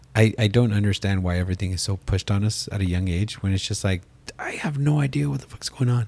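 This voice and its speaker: A man's fairly low voice at a very fast pace with ordinary pitch variation, over noticeable background noise. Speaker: podcast co-host, pest control salesman. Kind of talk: casual chat. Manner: animated.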